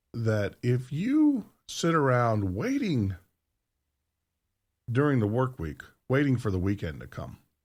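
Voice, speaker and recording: A man talks at a fairly slow pace with lively intonation and long, frequent pauses. Music plays in the background. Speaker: radio host. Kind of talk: live radio show monologue. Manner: casual and chatty.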